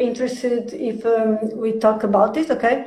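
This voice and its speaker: With a Portuguese accent, a woman speaks at a fairly high pitch with fairly even intonation, and audible room echo surrounds her voice. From Portugal. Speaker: stream host. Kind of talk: live stream interview. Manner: halting.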